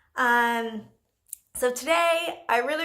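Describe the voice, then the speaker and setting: This woman has an American accent. Her tone is bright and sharp. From Jamaica, raised in the US. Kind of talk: casual talk to camera. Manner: hesitant, many fillers.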